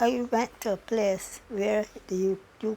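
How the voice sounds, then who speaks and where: In a Barbadian accent, a woman speaks at a fairly high pitch. Her pitch variation is ordinary. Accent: Barbadian (Bajan). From Barbados. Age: 80s+. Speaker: retired estate worker. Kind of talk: oral history interview answer.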